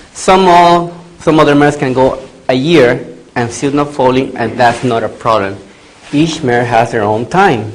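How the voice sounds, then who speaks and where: A man speaks at a moderate pace and medium pitch with ordinary pitch variation. Audible room echo and noticeable background noise are present. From Latin America. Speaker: veterinarian. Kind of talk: lecture. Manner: loud.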